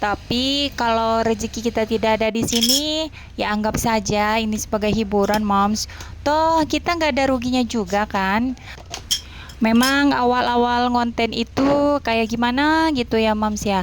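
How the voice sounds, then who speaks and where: A woman with a fairly high voice speaks fairly slowly, using ordinary pitch variation over noticeable background noise. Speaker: housewife vlogger. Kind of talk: casual vlog narration while doing housework. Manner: halting.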